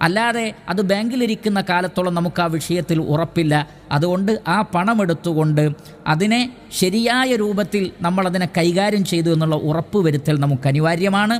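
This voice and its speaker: The voice holds a very even loudness and ordinary pitch variation over noticeable background noise. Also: man, high pitch for a man. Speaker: Islamic preacher. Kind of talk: religious lecture.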